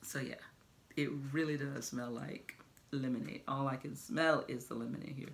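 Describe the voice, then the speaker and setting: A woman's very deep, low voice with vocal fry and an American accent, over light background noise. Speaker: product review vlogger. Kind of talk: casual product review vlog. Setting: at home. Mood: cheerful, enthusiastic. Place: home room. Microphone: phone near.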